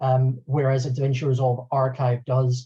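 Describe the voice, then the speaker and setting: A man speaks in a dark, mellow tone that is somewhat breathy. The background is quiet. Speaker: video editor and software trainer; software trainer. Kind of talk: webinar tutorial. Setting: online webinar. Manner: fast.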